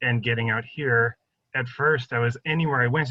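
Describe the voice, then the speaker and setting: This man has an ordinary speaking voice with an American accent. He talks at a moderate pace with fairly even intonation. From suburbs of Boston, Massachusetts. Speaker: herbalist teacher. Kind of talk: casual interview chat. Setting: video call.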